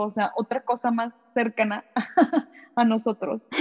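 Somewhat breathy and fairly high, a woman's voice moves at a fairly slow pace with monotone, flat intonation. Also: dry, close sound with no echo. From Mexico. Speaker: podcast host. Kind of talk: interview.

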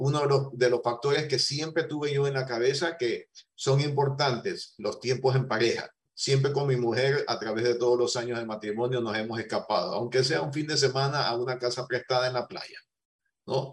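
Somewhat breathy and medium in pitch, a man speaks at a moderate pace with fairly even intonation. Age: 60s. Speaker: business owner. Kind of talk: interview.

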